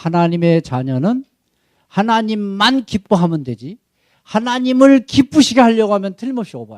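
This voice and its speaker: A high-pitched man speaks at a moderate pace. His pitch swings very widely and his loudness shifts a lot. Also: dry, close sound with no echo. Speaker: missionary pastor. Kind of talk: sermon. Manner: animated.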